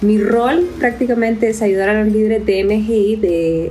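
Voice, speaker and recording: A woman speaks at a medium pitch and a fairly slow pace over noticeable background noise. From Honduras. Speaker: missionary ministry worker. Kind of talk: podcast interview.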